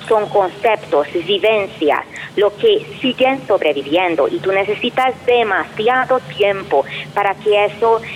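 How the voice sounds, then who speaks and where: With a Hungarian accent and lively intonation, the speaker talks at a very slow pace over noticeable background noise. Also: woman. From Hungary. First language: Hungarian (speaking Spanish). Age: 40s. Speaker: professor and researcher. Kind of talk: interview.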